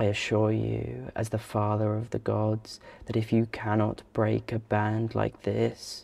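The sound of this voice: Simply an unforced reading voice.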